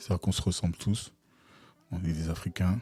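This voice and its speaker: A man's very deep, low, dark and mellow voice, somewhat breathy, in a monotone, flat intonation with a dry, close sound and no echo. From Togo and Ivory Coast (Lomé, Abidjan). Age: 40s. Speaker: UX/UI designer and entrepreneur, podcast co-host. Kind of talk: casual interview. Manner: hesitant, many fillers.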